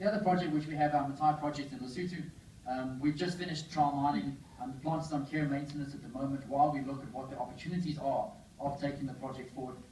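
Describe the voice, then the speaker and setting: Very fast and fairly high, a man's voice keeps a fairly even intonation. Noticeable background noise and audible room echo fill the recording. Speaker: mining company CEO. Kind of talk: investor presentation. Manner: hesitant, many fillers.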